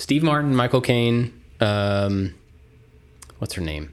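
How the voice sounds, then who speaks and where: A man at a moderate pace, with lively intonation. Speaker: podcast co-host, maker. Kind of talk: casual chat. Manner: energetic, amped up.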